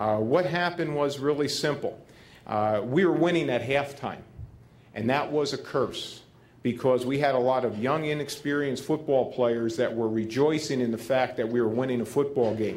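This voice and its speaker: A man at medium pitch with a New Jersey accent, a moderate pace, ordinary pitch variation, and audible room echo. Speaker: football head coach, keynote speaker. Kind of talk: Q&A speech at a gala. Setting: stage at a gala dinner with audience.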